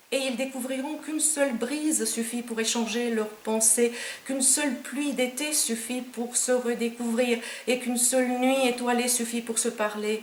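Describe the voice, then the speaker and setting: Over noticeable background noise and audible room echo, a woman speaks at a moderate pace in a high, monotone, flat voice. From Romania. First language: Romanian (speaking French). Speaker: poet. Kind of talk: poetry reading; author talk.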